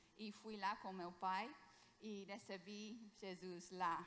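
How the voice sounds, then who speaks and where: A woman speaks at medium pitch with a bright, sharp tone and fairly even intonation. Room echo can be heard. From England. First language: English (speaking Portuguese). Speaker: missionary doctor. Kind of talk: sermon. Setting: church. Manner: halting.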